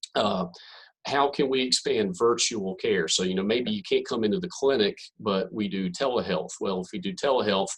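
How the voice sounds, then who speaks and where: At a moderate pace, a man with a Southern accent talks at a medium pitch using lively intonation. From North Carolina. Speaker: physician. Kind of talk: presentation.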